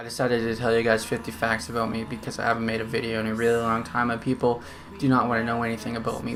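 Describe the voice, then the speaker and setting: Music plays in the background as a man talks at a very fast pace. His pitch is medium. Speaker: YouTuber. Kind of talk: vlog. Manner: halting.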